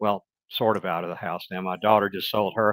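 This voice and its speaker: Speaking in a Mississippi accent at a moderate pace, a man with a fairly low pitch is heard on a very clean recording with a silent background and a dry, close sound with no echo. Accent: Southern US (Mississippi). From US South, Mississippi. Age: 60s. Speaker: retired business executive and writer. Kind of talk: interview conversation.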